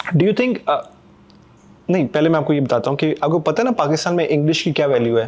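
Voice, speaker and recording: A man with a fairly high pitch and an unremarkable speaking voice talks with lively intonation at very even loudness. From Pakistan. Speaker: podcast host. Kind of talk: casual interview chat.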